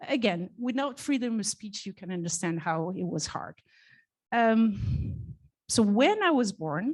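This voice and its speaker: Somewhat breathy, a woman's medium-pitched voice carries lively intonation. She speaks at a fairly slow pace. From Portugal. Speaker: conference speaker, developer advocacy manager. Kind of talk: conference talk, personal career story. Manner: halting.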